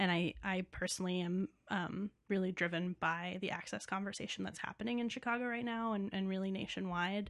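In an American accent, a woman talks at a fairly quick pace and a medium pitch. She has an ordinary speaking voice with fairly even intonation. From New York City. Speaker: theater managing director. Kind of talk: casual chat.

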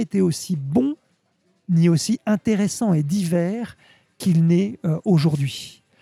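Here a man speaks very slowly in a high pitch, with ordinary pitch variation and a dark, mellow tone. The sound is dry and close, with no echo. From Normandy, France. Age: 50s. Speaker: sake expert. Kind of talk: interview. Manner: halting, repeats words.

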